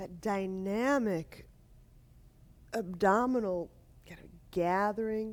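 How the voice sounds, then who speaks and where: Soft-spoken, a woman talks at a very slow pace with ordinary pitch variation and long, frequent pauses. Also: medium pitch for a woman. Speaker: yoga teacher. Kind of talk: guided yoga class.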